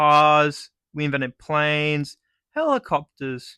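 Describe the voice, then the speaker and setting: A man with an Australian accent speaks at a fairly high pitch, his tone bright and sharp. The sound is dry and close, with no echo. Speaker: comedic vlogger. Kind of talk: comedic monologue. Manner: animated.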